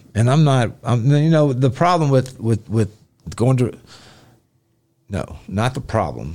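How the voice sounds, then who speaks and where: A man's medium-pitched voice in a Memphis accent, with a dark, mellow tone, lively intonation, a fairly slow pace and long, frequent pauses. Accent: Southern US (Memphis). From US South, Memphis area. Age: 40s. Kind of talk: casual chat.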